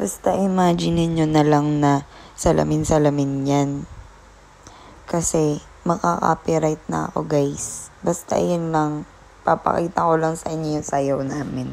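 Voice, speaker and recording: A woman speaks with a very deep, low pitch. Her pace is fairly slow, with ordinary pitch variation. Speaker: vlogger. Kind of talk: vlog narration. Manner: casual, chatty.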